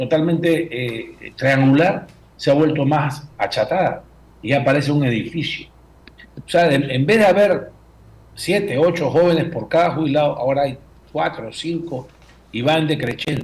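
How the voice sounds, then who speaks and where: Speaking at a moderate speed, the somewhat breathy voice shows ordinary pitch variation. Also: man. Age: 70s. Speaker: former finance minister, economist. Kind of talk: radio interview. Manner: halting with fillers.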